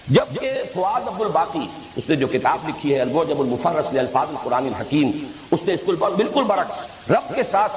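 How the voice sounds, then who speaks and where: Over noticeable background noise, a man's high voice makes very wide pitch swings. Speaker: Islamic scholar. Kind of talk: explanatory religious lecture.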